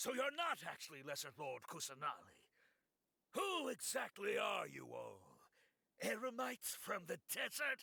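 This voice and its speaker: Using a put-on character voice at an extremely high pitch, a man speaks at a moderate pace with long, frequent pauses. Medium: video game. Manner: sharp, questioning.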